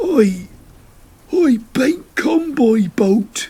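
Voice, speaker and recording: A gruff, high-pitched put-on character voice with a West Country accent. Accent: West Country rustic dialect. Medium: read story. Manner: gruff, halting.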